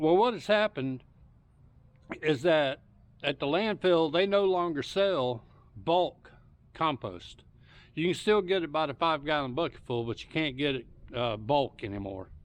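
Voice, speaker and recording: Someone speaks with a Southern US accent at a moderate pace, using very wide pitch swings and long, frequent pauses, over a quiet background. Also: man, fairly high pitch for a man. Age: 60s. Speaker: home gardener YouTuber. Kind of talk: casual tutorial. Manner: relaxed, hesitant with fillers.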